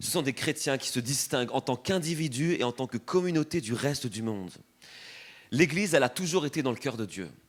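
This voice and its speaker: Lively intonation runs through an ordinary speaking voice in a very clean recording with a silent background. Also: man, fairly high pitch for a man, fairly quick pace. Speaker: preacher. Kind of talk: sermon.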